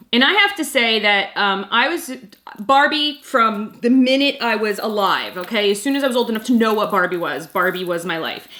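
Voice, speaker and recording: A woman with a fairly high pitch talks at a moderate pace with lively intonation. Noticeable background noise is present. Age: 40s. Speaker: YouTube mom vlogger. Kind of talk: casual vlog commentary. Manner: hesitant, many fillers.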